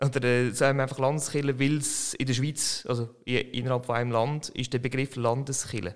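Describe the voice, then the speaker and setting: A man at a medium pitch and a fairly quick pace, monotone and flat in intonation, with hardly any pauses. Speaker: podcast host. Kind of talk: interview conversation.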